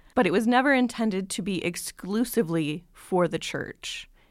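The recording is very clean, with a silent background. A woman speaks at a moderate pace with ordinary pitch variation in an unremarkable speaking voice. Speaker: historian. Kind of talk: interview explanation.

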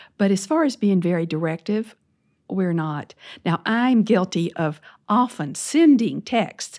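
The speaker is a woman with a medium pitch. She talks at a fairly slow pace with very wide pitch swings. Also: very clean recording, silent background. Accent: Southern. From US South, Louisiana. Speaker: former church leader. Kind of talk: interview.

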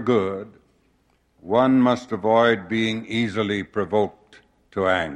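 The speaker is a man with an American accent. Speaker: church leader giving a conference address. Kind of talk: formal sermon-like conference address, earnest and measured, with prayerful close. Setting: conference pulpit before a large congregation. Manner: formal, earnest, measured; occasional halting restarts.

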